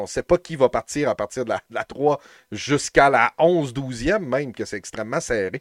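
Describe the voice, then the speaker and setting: Recorded very cleanly against a silent background, dry and close with no echo, a man speaks in a plain, everyday voice at a medium pitch. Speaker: podcast host. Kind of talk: casual chat.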